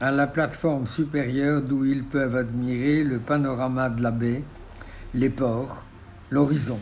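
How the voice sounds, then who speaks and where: Here a man talks fairly slowly at a medium pitch, his intonation monotone and flat. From Belgium. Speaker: architect. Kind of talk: documentary memoir narration. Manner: passionate.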